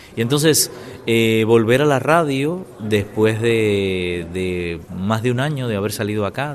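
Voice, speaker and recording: A man of middle pitch talks in a room with audible echo, and clear noise fills the background. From Cuba. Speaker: former radio journalist and Spanish teacher. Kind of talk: interview testimony. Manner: hesitant, many fillers.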